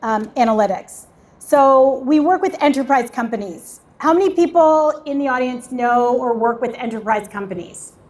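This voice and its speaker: A woman speaks loudly in a high pitch. Her pitch variation is ordinary and her pace moderate. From Canada. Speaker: tech startup founder and event host. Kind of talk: panel discussion.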